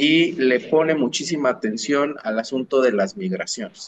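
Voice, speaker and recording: At a very slow pace, a man speaks in a fairly high pitch with lively intonation. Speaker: podcast co-host, sociologist. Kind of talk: casual chat.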